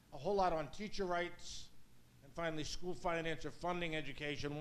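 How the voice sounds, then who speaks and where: Someone talks at a fairly quick pace with an American accent, and audible room echo surrounds the voice. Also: man. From US Northeast, Brooklyn, New York. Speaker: law professor. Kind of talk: lecture. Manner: fast.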